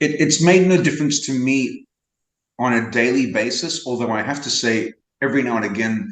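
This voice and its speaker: A normal speaking voice from a man at medium pitch, fairly quick, with lively intonation. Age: 60s. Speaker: interview guest. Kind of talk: casual interview.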